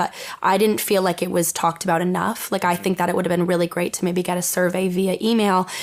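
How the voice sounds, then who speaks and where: Talking at a very fast pace, a woman has an American accent. Her intonation is monotone and flat. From Eastern Connecticut. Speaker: mental health blogger. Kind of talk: podcast interview answer. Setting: studio.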